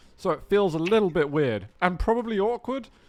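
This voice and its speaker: Very wide pitch swings at a fairly quick pace, with music in the background. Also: man. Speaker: esports caster. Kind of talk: live esports commentary. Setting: livestream. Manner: louder than usual.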